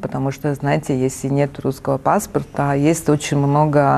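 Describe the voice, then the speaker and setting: Speaking at a fairly slow pace, the woman has a very deep, low pitch. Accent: Italian. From Italy. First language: Italian (speaking Russian). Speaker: arts foundation director. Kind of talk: interview. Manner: halting.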